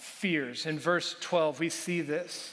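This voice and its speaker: A man's high-pitched voice at a very slow pace. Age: 50s. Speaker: pastor. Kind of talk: sermon. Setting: church.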